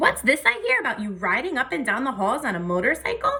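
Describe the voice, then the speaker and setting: A woman's high-pitched put-on character voice at a very fast pace. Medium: read story. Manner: blunt, blustery.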